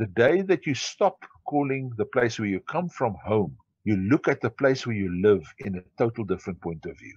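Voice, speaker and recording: A man with a South African accent speaks at a medium pitch and a moderate pace. His pitch swings very widely, and the sound is dry and close with no echo. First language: Afrikaans. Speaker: entrepreneur. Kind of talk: interview.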